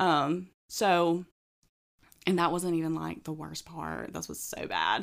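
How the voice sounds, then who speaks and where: On a very clean recording with a silent background, a woman with a Southern US accent talks at a very slow pace, with big swings in loudness and long, frequent pauses. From Alabama, US South. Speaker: new mother on maternity leave. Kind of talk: casual chat.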